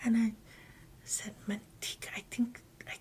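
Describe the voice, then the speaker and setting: A woman speaks in a somewhat breathy voice. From Guam. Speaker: interviewee sharing life memories. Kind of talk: oral history interview. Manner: halting.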